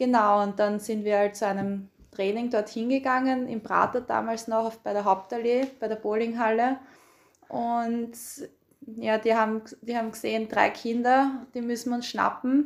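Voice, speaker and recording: This woman talks at a fairly slow pace. Her intonation is monotone and flat. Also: fairly high pitch for a woman. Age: 20s. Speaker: field hockey player. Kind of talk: casual interview.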